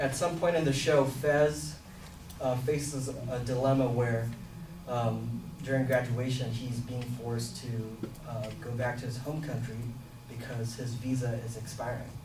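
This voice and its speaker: A man speaks at a medium pitch and a fairly slow pace, with fairly even intonation and long, frequent pauses. Audible room echo and noticeable background noise fill the recording. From Philippines and Singapore. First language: Filipino. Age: 20s. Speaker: student. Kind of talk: class self-introduction presentation.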